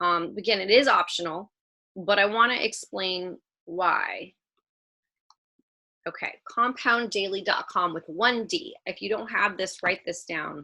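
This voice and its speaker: A woman with a medium pitch, ordinary pitch variation and a bright, sharp tone speaks at a fairly slow pace. She leaves long, frequent pauses, and the background is quiet. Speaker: women's trading group leader. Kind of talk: group video call presentation. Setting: video call. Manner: slight stutter today; casual, chatty.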